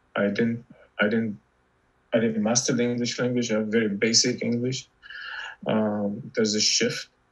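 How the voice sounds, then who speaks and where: A man speaks at medium pitch with an Arabic accent and a moderate pace. His intonation is monotone and flat, with long, frequent pauses. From Lebanon. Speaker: novelist. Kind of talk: interview conversation. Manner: halting, many fillers and repetitions.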